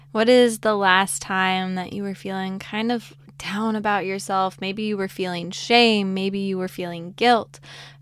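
A woman uses an ordinary speaking voice at medium pitch, with fairly even intonation and a fairly slow pace. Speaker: podcast host and meditation guide. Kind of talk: guided meditation; casual, playful podcast intro with puns. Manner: slow, soothing, calm; gentle, warm, reassuring.

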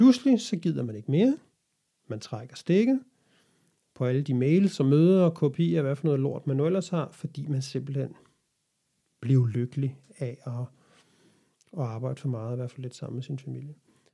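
Somewhat breathy and dark, mellow in tone, a man with a fairly high pitch speaks at a moderate pace with ordinary pitch variation and long, frequent pauses. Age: 40s. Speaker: podcast host. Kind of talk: solo monologue podcast. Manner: hesitant.

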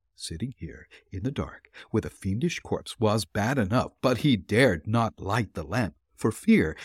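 A man's fairly low, somewhat breathy voice with lively intonation, dry and close with no echo, on a very clean recording against a silent background. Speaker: podcast host and narrator. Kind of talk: ghost story read aloud, dramatic narration of a horror tale. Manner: suspenseful, building dread through the climactic horror passage; warm and chatty in intro and sign-off.

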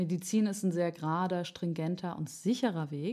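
A woman speaks in a fairly low voice with a dark, mellow tone and ordinary pitch variation, recorded very cleanly against a silent background. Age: 20s. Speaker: opera singing student and podcast co-host. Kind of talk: casual chat; scripted narration of opera plot.

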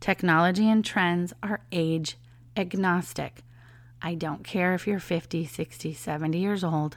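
Over a very clean recording with a silent background, a woman with an American accent talks at a fairly slow pace in an unremarkable speaking voice, fairly low in pitch, with fairly even intonation. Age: 40s. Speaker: leadership coach and podcast host. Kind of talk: casual solo monologue.

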